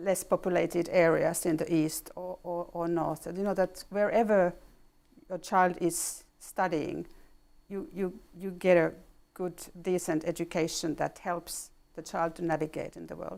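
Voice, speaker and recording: A woman with a Finnish accent speaks at a moderate pace in a fairly low pitch with monotone, flat intonation and big swings in loudness, on a very clean recording with a silent background. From Finland. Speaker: ambassador. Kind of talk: interview. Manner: halting.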